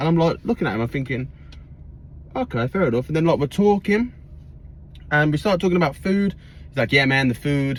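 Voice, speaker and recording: A man with an English accent speaks in a somewhat breathy voice with lively intonation. He leaves long, frequent pauses. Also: fairly quick pace. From England. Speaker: vlogger. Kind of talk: storytelling. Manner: casual, filler-heavy.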